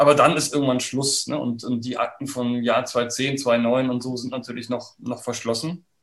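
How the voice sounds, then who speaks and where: A man's monotone, flat delivery at a moderate pace with hardly any pauses. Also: medium pitch for a man. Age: 50s. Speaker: historian, professor, book author. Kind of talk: interview about his book. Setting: online video conversation.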